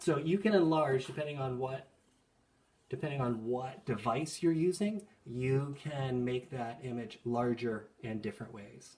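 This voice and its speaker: Intonation here is lively and the voice somewhat breathy. The pace is fairly slow. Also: man, medium pitch for a man. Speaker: school art teacher. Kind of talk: tutorial. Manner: casual, with fillers.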